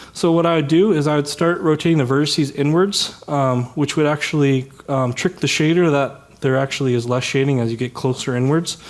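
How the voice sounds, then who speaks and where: A man speaks at a fairly quick pace, his fairly high voice held in a fairly even intonation. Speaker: software developer giving a tech talk. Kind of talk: conference talk. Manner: fast; many filler words.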